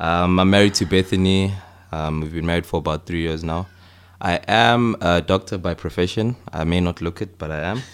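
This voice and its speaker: Over a silent background in a very clean recording, a man with a very deep, low pitch speaks at a moderate pace with fairly even intonation. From South Africa, Johannesburg. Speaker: medical doctor. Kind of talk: interview, explaining medical topic.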